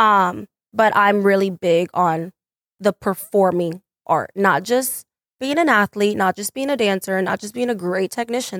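In a very clean recording with a silent background and a dry, close sound with no echo, a woman with an ordinary speaking voice and an American accent speaks at medium pitch, with ordinary pitch variation, at a moderate pace. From Texas, Mesquite. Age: 20s. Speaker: dancer and dance teacher. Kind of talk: casual chat.

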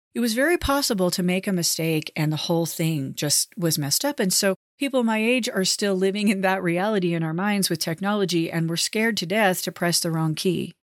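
At a fairly quick pace with hardly any pauses, a plain, everyday voice holds a very even loudness and ordinary pitch variation. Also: woman, medium pitch for a woman. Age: 50s. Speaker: podcast host. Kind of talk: solo monologue.

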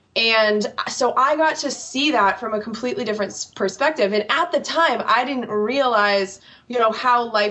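Over noticeable background noise, a woman talks at a moderate pace, her fairly high pitch showing ordinary variation. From United States. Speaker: political podcast host. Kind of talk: interview.

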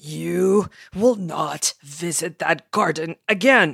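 A put-on character voice growls at a middle pitch and a very slow pace. The recording is very clean, with a silent background. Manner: growling, stern.

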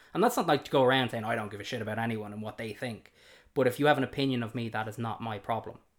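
In a Dublin accent, a man talks at a very fast pace with fairly even intonation in a very clean recording with a silent background. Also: medium pitch for a man, big swings in loudness. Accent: Dublin Irish. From Ireland, south Dublin. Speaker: host's partner. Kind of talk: casual chat. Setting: at home.

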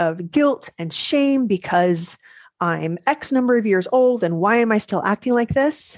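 In a normal speaking voice, a woman talks at a fairly slow pace with lively intonation, the sound dry and close with no echo against a quiet background. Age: 40s. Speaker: life coach and podcast host. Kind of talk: solo podcast monologue.

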